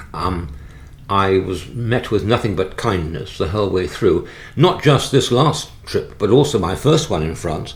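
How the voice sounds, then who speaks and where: Amid noticeable background noise and audible room echo, a man with a very deep, low pitch speaks at a moderate pace. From England (born London, moved out after the Blitz). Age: 70s. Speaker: retired neurologist and pilgrim walker. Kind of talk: interview about travel experiences. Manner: halting, many fillers and restarts.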